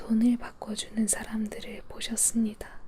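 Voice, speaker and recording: A soft-spoken woman talks in a gentle, soothing tone at a fairly high pitch. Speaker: Bible reader. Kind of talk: Bible reading for sleep (ASMR). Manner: soft, gentle, soothing.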